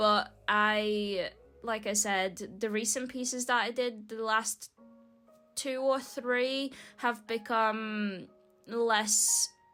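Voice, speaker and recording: Over music in the background, a woman speaks at a very slow pace, her fairly high pitch held in fairly even intonation. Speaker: mixed media artist. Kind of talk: casual talk to camera.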